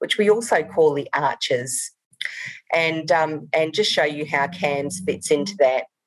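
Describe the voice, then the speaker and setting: Her pitch very deep and low, a woman speaks with lively intonation and a slight New Zealand accent. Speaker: rural doctor and medical director. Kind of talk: conference presentation.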